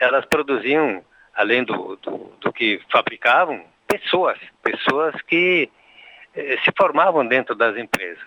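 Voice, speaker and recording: The pace is very slow. The intonation is lively. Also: man, fairly high pitch for a man. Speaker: company director. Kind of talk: interview.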